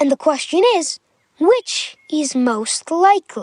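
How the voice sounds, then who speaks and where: A squeaky, high-pitched, put-on character voice speaks at a fairly slow pace. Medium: read story. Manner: slow, gentle, musing.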